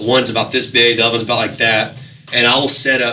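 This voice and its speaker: A man talks at a very fast pace. Audible room echo and music in the background accompany him. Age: 30s. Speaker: musician. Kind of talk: casual chat.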